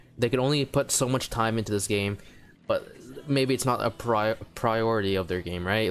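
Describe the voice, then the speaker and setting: A quiet man with a fairly low pitch at a moderate pace. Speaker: gaming youtuber. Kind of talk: casual commentary vlog. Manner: halting.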